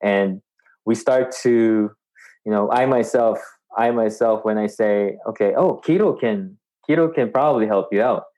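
A man talks at a fairly slow pace in a medium pitch with ordinary pitch variation and a plain, everyday voice. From Filipino background, Canada-based. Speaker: keto influencer and podcaster. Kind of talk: interview. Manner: casual, many fillers.

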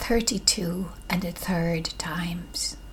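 Over noticeable background noise, a woman speaks in a gentle, warm tone with fairly even intonation. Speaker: podcast host and poetry reader. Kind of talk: poem reading. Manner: slow, soothing, intimate.

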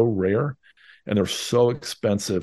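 A man with a fairly low pitch speaks against a quiet background. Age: 50s. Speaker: real estate investor and author. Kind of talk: interview.

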